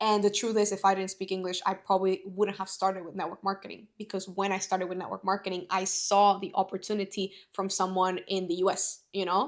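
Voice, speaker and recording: Someone with a Spanish accent talks at a very fast pace in a flat monotone. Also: woman, medium pitch for a woman, hardly any pauses. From Bolivia. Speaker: network marketing entrepreneur. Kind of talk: casual podcast conversation.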